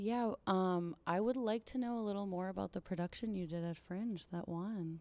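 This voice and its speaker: A soft-spoken woman with an American accent talks at a moderate pace and medium pitch, with ordinary pitch variation and hardly any pauses. Her tone is dark and mellow. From Pittsburgh, US. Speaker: clown and sideshow performer. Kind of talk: interview.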